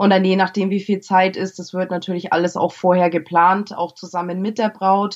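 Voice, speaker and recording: Her pitch is medium. The voice belongs to a woman. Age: 20s. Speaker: make-up artist. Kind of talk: podcast interview.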